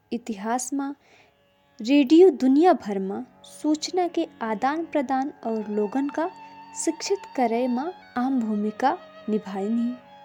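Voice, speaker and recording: Over music in the background, a woman with a high pitch speaks with lively intonation. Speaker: radio program host. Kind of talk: community radio talk show.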